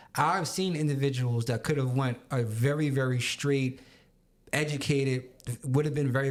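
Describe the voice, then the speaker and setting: Over a very clean recording with a silent background, a normal speaking voice in an American accent moves at a fairly quick pace with fairly even intonation. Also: man. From Long Island, New York. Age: 30s. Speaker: podcast co-host. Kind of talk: casual chat.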